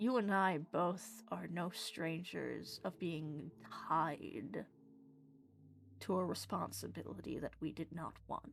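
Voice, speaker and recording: A put-on character voice, female-sounding and rumbling, fairly low in pitch and fairly slow in pace. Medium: actual play. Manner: seductive.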